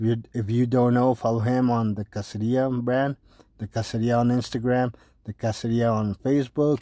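In a Spanish accent, a man with a dark, mellow tone and medium pitch talks at a fairly quick pace in a monotone, flat intonation, recorded dry and close with no echo. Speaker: podcast host. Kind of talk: casual monologue. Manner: halting.

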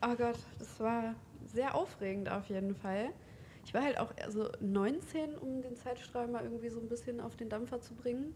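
A woman with a fairly high pitch talks at a moderate pace with ordinary pitch variation and big swings in loudness, over noticeable background noise. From Hildesheim, Lower Saxony, Germany. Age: 20s. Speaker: tattoo artist. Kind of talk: casual interview chat. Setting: in person, mobile recording setup.

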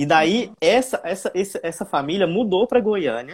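A man's high-pitched voice at a moderate pace. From Brazil, interior of Goiás. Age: young. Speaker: flautist and flute teacher. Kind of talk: casual interview on a livestream.

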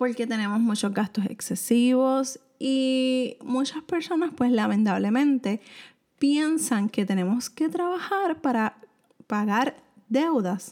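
A woman's high-pitched voice with a Puerto Rican accent, very slow pace, lively intonation and very even loudness, on a very clean recording with a silent background. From Puerto Rico. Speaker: personal finance podcaster. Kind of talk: solo podcast monologue, financial advice. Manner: casual, conversational with fillers.

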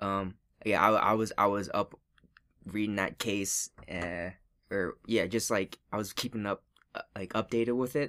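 In a very clean recording with a silent background, a man speaks at a fairly slow pace with a fairly low pitch and fairly even intonation. His tone is bright and sharp, and the sound is dry and close with no echo. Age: 20s. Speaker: podcast co-host. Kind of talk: casual chat.

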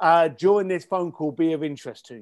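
An animated tone in a British accent, on a very clean recording with a silent background. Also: man. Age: 50s. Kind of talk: interview.

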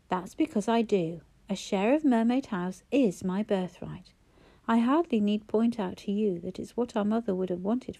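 Pitch varies in an ordinary way. The delivery is an unforced reading voice.

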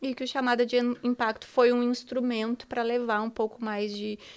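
A woman speaks at a moderate pace in a flat, monotone delivery. The recording is very clean, with a silent background. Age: 40s. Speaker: teacher and diversity consultant. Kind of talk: interview.

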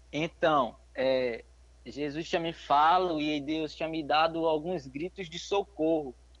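Here a man has a plain, everyday voice. His pitch is fairly high and his intonation fairly even. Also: fairly slow pace. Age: 20s. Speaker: young missionary. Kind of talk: interview testimony; exhortation to listeners.

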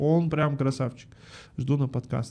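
Somewhat breathy and dark, mellow in tone, a man speaks at a moderate pace with a fairly high pitch. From Almaty, Kazakhstan. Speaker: advertising agency founder and podcast studio owner. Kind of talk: casual interview chat. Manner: animated, casual, slangy.

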